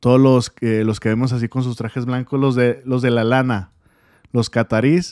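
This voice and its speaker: In a very clean recording with a silent background and a dry, close sound with no echo, a man with a normal speaking voice talks at a medium pitch and a moderate pace with fairly even intonation. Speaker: political news commentator. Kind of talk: news commentary monologue.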